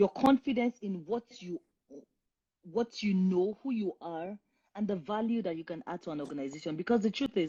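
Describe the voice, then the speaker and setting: At a moderate pace, a woman with a Nigerian accent speaks at medium pitch, somewhat breathy. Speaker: career coach. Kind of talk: live stream Q&A advice. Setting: Instagram live stream.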